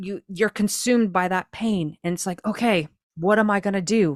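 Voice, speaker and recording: Recorded very cleanly against a silent background, a woman at a medium pitch speaks with ordinary pitch variation in a dry, close sound with no echo. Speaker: podcast host. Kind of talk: casual chat. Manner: fast.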